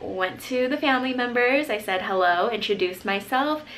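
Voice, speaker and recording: The room echo is audible and background noise noticeable as a woman speaks at a moderate pace. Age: young. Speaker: nurse. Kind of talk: vlog monologue.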